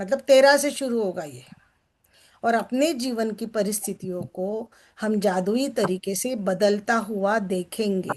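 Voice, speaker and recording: In an ordinary speaking voice, a woman talks fairly high in her range, her pitch shifting a typical amount. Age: 60s. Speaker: success coach. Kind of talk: book reading and discussion with group. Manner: conversational, interactive.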